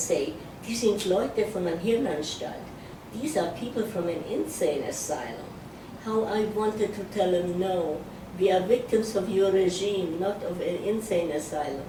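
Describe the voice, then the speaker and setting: A woman's medium-pitched voice moves at a moderate pace with ordinary pitch variation, noticeable background noise around it. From Czechoslovakia. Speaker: Holocaust survivor. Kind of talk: oral history interview answer.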